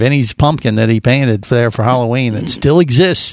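A man in an animated tone, with ordinary pitch variation. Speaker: radio show host and dive master. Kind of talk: radio dj patter, casual live radio banter with a joking tone and cheerful sign-offs. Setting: studio show with web-connected panel. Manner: animated, bantering, riffing and laughing with co-hosts.

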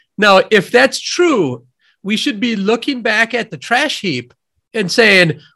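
A bright, sharp voice with a Midwestern accent, raised and projected. The intonation is lively and the pace fairly slow. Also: man. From US Midwest, near Madison, Wisconsin. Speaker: economist, professor and author. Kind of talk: interview.

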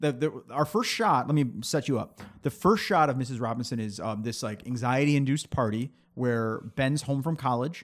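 Recorded very cleanly against a silent background, a man with an ordinary speaking voice talks at a moderate pace, with a medium pitch and ordinary pitch variation. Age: 30s. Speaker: film podcast host. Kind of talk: casual chat.

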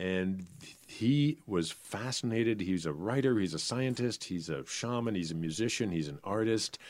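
At a moderate pace, a man talks in an unremarkable speaking voice with a fairly low pitch. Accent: American. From New Hampshire, US. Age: 60s. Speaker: dancer and vocal performer. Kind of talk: interview.

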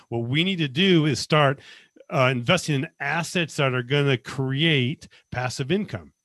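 Over a quiet background, a man with an ordinary speaking voice talks at a fairly high pitch and a moderate pace, with ordinary pitch variation. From Las Vegas, US West. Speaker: financial consultant, former accountant, army veteran. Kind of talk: casual interview.

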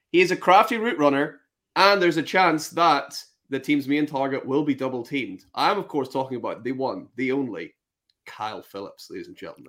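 Speaking with a Northern Irish accent, a man uses a fairly high pitch, lively intonation and a fairly quick pace. His loudness swings widely on a very clean recording with a silent background. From Northern Ireland. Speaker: fantasy football podcast host. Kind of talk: casual chat.

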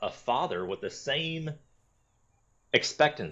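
With an American accent and lively intonation, a man talks over a quiet background. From US South, Florida. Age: 30s. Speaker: former Marine and survival instructor. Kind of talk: casual interview.

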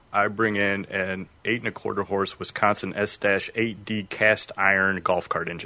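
With a bright, sharp tone and fairly low pitch, a man speaks in a flat monotone at a moderate pace with hardly any pauses. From northern Illinois (Freeport). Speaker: automotive field technical specialist. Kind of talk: casual interview.

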